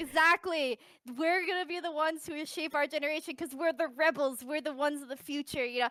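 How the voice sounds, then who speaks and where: Her voice is raised and projected, high-pitched, with a bright, sharp tone. The woman keeps a fairly quick pace and fairly even intonation. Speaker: YouTuber. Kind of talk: casual chat. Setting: voice call on Discord.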